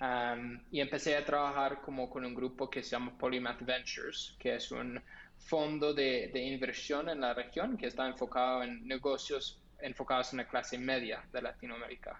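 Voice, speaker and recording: With an American accent, a man talks at a moderate pace with hardly any pauses. His intonation is monotone and flat, and his pitch is medium. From US, Los Angeles, California. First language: English (speaking Spanish). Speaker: startup founder and CEO. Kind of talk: interview. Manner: halting, many fillers and repetitions.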